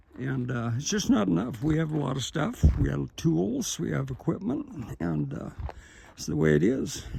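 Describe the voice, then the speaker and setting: Noticeable background noise runs under a man's voice as he goes along at a moderate pace. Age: 70s. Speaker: retired-age tractor contractor and vlogger. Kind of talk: casual video walkthrough monologue. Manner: halting, with fillers.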